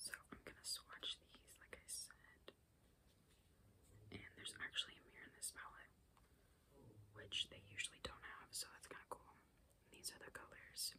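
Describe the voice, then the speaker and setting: Whispering at a moderate pace, the speaker leaves long, frequent pauses and shows big swings in loudness. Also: woman. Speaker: beauty ASMR creator. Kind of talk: ASMR whisper ramble. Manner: whispered. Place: home room. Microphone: phone near.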